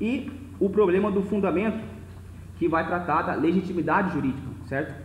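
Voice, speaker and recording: Long, frequent pauses break up a man's high-pitched speech, which has ordinary pitch variation and audible room echo. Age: 20s. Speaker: lecturer on philosophy of law. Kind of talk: lecture. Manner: fast; slightly slurred, occasional stutter.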